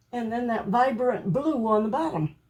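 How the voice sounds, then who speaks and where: Delivered at a fairly slow pace, the voice carries a dark, mellow tone and lively intonation. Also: woman. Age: 80s+. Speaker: home cook and crafter. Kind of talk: cooking tutorial. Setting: home kitchen. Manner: casual, chatty.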